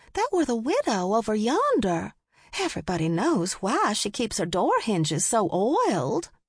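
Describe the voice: A woman's put-on character voice, fairly high in pitch with a slightly husky edge, very wide pitch swings and a fairly slow pace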